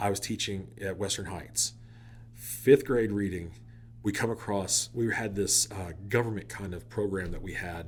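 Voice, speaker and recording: Speaking with an American accent, a man uses a fairly low pitch with vocal fry. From Oklahoma. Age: 40s. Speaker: teacher and wedding DJ. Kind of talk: casual interview. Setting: studio. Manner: animated.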